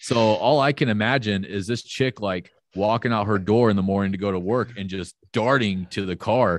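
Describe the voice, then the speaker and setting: A man with an American accent speaks at a moderate pace in a fairly low pitch, the sound dry and close with no echo and the background quiet. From US South, Florida (Panama City). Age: 30s. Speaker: fitness business owner. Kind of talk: casual chat.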